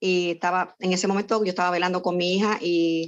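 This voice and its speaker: A woman speaks in a normal speaking voice at a fairly low pitch. Her pace is fairly quick, and the background is quiet. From Puerto Rico (San Lorenzo). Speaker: homemaker. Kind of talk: interview testimony.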